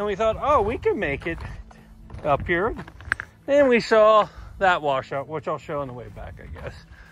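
At a moderate pace, a man speaks in a high voice, the recording dry with no echo and light background noise. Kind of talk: casual vlog narration. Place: open country. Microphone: phone near.

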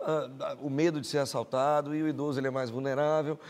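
A man's fairly high-pitched voice at a very fast pace, with fairly even intonation. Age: 50s. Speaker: psychiatrist; guest. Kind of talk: TV studio interview. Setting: TV studio. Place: studio. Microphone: lapel.

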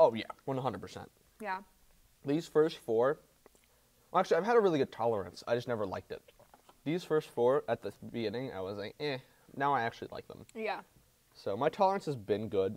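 A man talks at a fairly quick pace, his loudness swinging widely. His pitch leaps up and down across a very wide range. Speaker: show host. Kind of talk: casual interview chat. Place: studio. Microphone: lapel.

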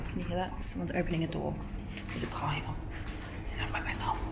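Over loud background noise, a woman talks at a very fast pace. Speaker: vlogger exploring. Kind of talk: casual vlog chat. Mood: playful, excited. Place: hall. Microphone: phone near.

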